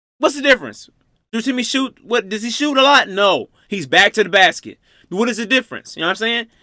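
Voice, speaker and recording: In a raised, projected voice at an extremely high pitch, a man speaks fairly quickly with a bright, sharp tone, ordinary pitch variation, and a dry, close sound with no echo. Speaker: reaction youtuber. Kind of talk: casual reaction commentary. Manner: animated; stuttering at times.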